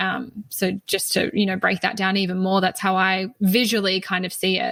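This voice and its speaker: In an Australian accent, a woman speaks at medium pitch and a moderate pace with monotone, flat intonation. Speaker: spiritual teacher. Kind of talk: podcast interview.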